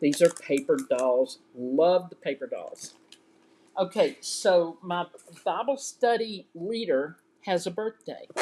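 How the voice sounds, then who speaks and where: In a Southern US accent, a woman with a medium pitch and a dark, mellow tone speaks very slowly with very wide pitch swings. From US South. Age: 60s. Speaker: crafting YouTuber. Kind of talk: casual live show-and-tell. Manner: chatty and animated.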